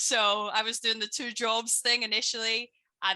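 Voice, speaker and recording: A woman with a Belfast accent and a bright, sharp tone, over a quiet background. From Northern Ireland, Belfast. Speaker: business coach and former personal trainer. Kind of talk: interview on a live stream.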